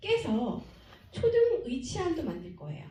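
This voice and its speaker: There is audible room echo around this woman's voice. Her pitch swings very widely. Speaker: academy director presenting to parents. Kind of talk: presentation to parents.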